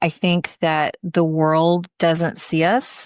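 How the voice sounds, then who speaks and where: Speaking at a very slow pace with fairly even intonation, a woman with a fairly low pitch sounds dry and close, with no echo and a quiet background. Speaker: podcast host. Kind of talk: interview questions.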